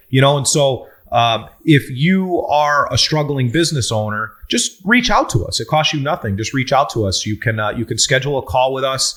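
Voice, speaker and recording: Hardly pausing at all, a man with a fairly high pitch speaks with lively intonation. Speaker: business consultant. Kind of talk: podcast Q&A discussion. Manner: fast.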